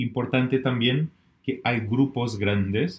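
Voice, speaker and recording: The speaker is a man with a non-native accent. He talks at a fairly slow pace. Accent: foreign, non-Spanish. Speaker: business networking director. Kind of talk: podcast interview. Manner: halting, with fillers.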